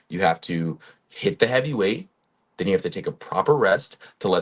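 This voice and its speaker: A man with a plain, everyday voice speaks at a moderate pace with lively intonation. The background is quiet. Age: 20s. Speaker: fitness coach. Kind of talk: casual talking-head monologue. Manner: casual, conversational with fillers.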